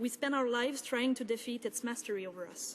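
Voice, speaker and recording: Her French accent clear, a woman talks at a high pitch and fairly quick pace with fairly even intonation. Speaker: member of parliament. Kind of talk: parliamentary speech. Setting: parliament chamber. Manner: formal.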